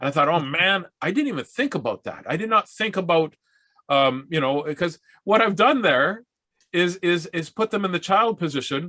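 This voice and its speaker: Bright and sharp in tone, the animated voice has lively intonation and long, frequent pauses, recorded dry and close with no echo. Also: man. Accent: Canadian prairie. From Saskatchewan, Canada. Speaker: mental health speaker and workshop leader. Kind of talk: workshop talk with humorous storytelling. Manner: fast.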